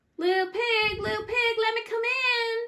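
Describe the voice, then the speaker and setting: An extremely high-pitched, put-on character voice carries the line. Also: moderate pace. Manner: coaxing, feigned friendliness.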